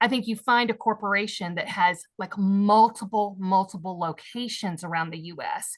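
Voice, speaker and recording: Loudness swings widely as a woman speaks with an animated tone at medium pitch. Her pace is moderate, with hardly any pauses. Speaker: pitch competition judge. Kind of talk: feedback to a pitch. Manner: loud talker.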